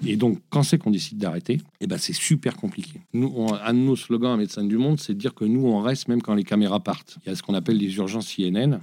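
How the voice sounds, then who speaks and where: A man talks at a very fast pace with lively intonation and a dark, mellow tone. The recording is very clean, with a silent background. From France, Lyon. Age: 50s. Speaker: NGO director. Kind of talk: interview. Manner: halting.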